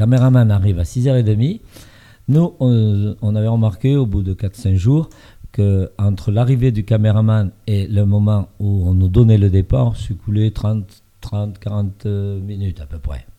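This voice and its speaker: This man speaks at a very slow pace, his pitch fairly low with ordinary variation. His tone is dark and mellow. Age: 70s. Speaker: reality TV contestant. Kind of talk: interview. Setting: studio with small audience. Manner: halting.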